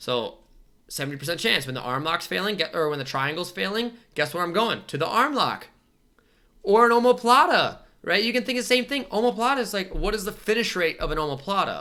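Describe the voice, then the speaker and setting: In a raised, projected voice with a bright, sharp, animated tone, the speaker moves at a fairly quick pace through very wide pitch swings. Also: man, high pitch for a man. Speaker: jiu-jitsu instructor. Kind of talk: tutorial. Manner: fast.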